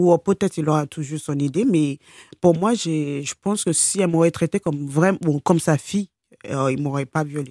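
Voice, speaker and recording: Very deep, low pitch from a woman, dark and mellow in tone with ordinary pitch variation, on a very clean recording with a silent background and a dry, close sound with no echo. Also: moderate pace. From Nigeria, Lagos suburbs, raised in France from age 12. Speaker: abuse survivor, care assistant. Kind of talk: interview testimony. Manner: halting.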